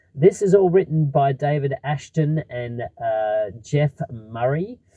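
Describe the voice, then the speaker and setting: Speaking with an Australian accent, a man uses lively intonation. His pitch is medium. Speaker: film critic. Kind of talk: movie review.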